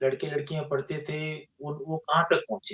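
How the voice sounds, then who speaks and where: A man is talking. His pitch runs fairly high. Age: 60s. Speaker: engineer and scientist, podcast guest. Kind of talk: interview conversation. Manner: halting, with false starts.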